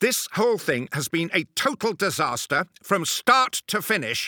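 Recorded very cleanly with a silent background, the voice moves at a moderate pace with very wide pitch swings. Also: man, high pitch for a man. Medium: audio drama. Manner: indignant, ranting, sarcastic.

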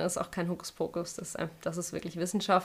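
A woman's fairly low voice at a fairly quick pace. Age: 30s. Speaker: yoga teacher and web designer. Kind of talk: casual interview.

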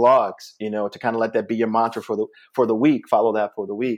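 At a fairly quick pace, a man talks at a medium pitch in a normal speaking voice. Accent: American. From US Northeast, Springfield, Massachusetts. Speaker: comedian. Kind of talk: casual chat.

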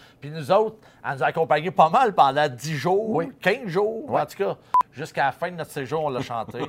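Speaking at a moderate pace, a man with a fairly high pitch shows very wide pitch swings and big swings in loudness. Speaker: podcast host. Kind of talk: casual chat. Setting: outdoors.

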